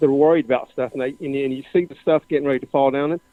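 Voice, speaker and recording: A man with a fairly high pitch. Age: 60s. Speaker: caller. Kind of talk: casual chat. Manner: halting.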